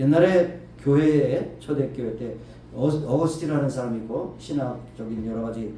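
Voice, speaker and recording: Audible room echo and noticeable background noise accompany a man as he talks. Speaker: pastor. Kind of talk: sermon.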